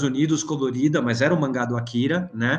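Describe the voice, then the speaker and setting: A man speaks over noticeable background noise. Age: 40s. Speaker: comics editor and journalist. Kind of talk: casual chat. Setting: video call.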